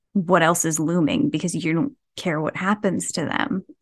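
With a New Jersey accent, a woman talks at a moderate pace in a fairly low pitch with ordinary pitch variation, recorded in a dry, close sound with no echo. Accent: New Jersey American. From US Northeast (New Jersey). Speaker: horror author. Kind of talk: casual interview.

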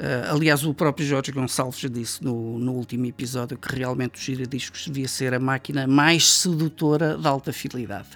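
A man at a medium pitch and moderate pace, fairly even in intonation with hardly any pauses, over noticeable background noise. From Portugal, Coimbra. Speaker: sound engineer, studio owner. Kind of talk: interview conversation. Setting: recording studio. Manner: hesitant, many fillers.

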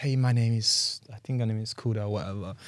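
The recording is very clean, the background silent. A man talks very fast at a medium pitch, sounding somewhat breathy. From Nigeria, Lagos. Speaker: reality TV contestant. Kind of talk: casual chat.

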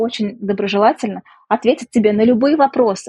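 Fairly high-pitched and somewhat breathy, a woman with a dark, mellow tone speaks at a fairly slow pace with ordinary pitch variation. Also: dry, close sound with no echo. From Russia, Samara. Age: 30s. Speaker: economist and businesswoman, emigrant. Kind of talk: interview.

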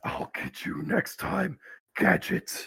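Raspy and put-on, a man's character voice comes through. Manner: menacing, theatrical.

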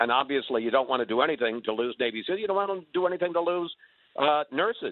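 Moving at a very fast pace, a man's voice has very wide pitch swings. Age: 70s. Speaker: caller. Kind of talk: call-in radio chat.

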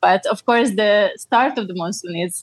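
Dry, close sound with no echo, carrying a woman's medium-pitched voice at a moderate pace. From Slovakia. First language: Slovak. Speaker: ecologist and cycle tourer. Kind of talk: interview.

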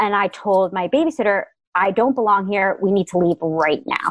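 A woman with an American accent and a plain, everyday voice speaks at a moderate pace with a medium pitch and ordinary pitch variation, in a very clean recording with a silent background that sounds dry and close, with no echo. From Connecticut, Fairfield County. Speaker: writer. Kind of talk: interview.

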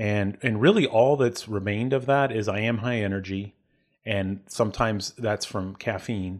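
A man with an ordinary speaking voice, fairly low in pitch, at a moderate pace with fairly even intonation, over a quiet background. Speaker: coach and speaker. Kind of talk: casual interview chat.

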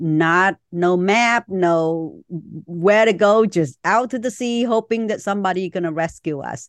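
A woman speaks at a very slow pace with ordinary pitch variation. The sound is dry and close with no echo, and the background is quiet. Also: medium pitch for a woman, hardly any pauses. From Vietnam, Chinese community in Saigon. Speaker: author and speaker. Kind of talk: interview conversation.

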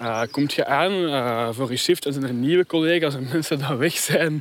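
Fairly high-pitched male voice over noticeable background noise. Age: young. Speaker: sociologist and philosopher. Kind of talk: casual conversation on a walk. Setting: outdoors, walking.

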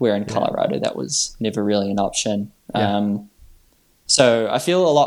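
A man with a New Zealand accent is heard on a very clean recording with a silent background. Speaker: trail runner. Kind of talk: interview.

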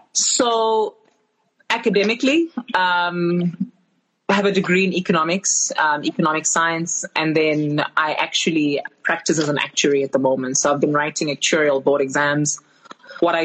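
Her voice is very deep and low, with very even loudness throughout. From South Africa, Alexandra township (Johannesburg). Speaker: financial educator and podcaster. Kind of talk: casual interview on a live stream. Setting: Instagram Live video call.

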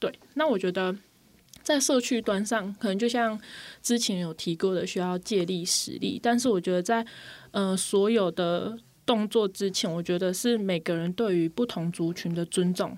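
On a very clean recording with a silent background, a woman speaks at a moderate pace. She has an unremarkable speaking voice at medium pitch. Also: ordinary pitch variation. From Taiwan, Pingtung. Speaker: social worker. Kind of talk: radio interview.

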